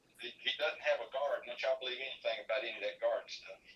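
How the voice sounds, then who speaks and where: A man talking at a very fast pace in a Carolinas accent. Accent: Southern US (Carolinas). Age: 60s. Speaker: fishing tournament organizer. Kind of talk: casual interview. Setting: live stream show.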